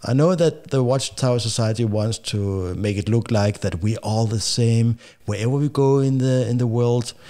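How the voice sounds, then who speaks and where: A man with a Danish accent speaks at a moderate pace in a medium pitch, with ordinary pitch variation and hardly any pauses. His tone is dark and mellow, his loudness very even, and the recording very clean with a silent background. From Denmark. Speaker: podcast host. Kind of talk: casual talk to camera. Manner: hesitant, halting.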